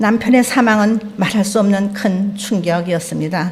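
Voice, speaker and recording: At a fairly slow pace, a woman talks at medium pitch with ordinary pitch variation, with audible room echo and noticeable background noise. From North Korea, Pyongyang. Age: 70s. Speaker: lay church member preaching. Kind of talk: sermon testimony. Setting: church service.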